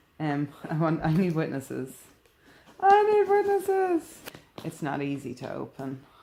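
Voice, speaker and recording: A woman talks at a moderate speed. Her pitch varies in an ordinary way, with noticeable background noise present. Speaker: vlogger. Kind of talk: casual vlog.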